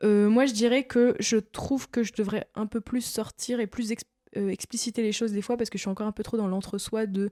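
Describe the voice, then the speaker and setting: Dark, mellow, fairly high-pitched woman's voice at a fairly quick pace, monotone and flat, dry and close with no echo. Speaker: podcast co-host. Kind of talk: casual chat.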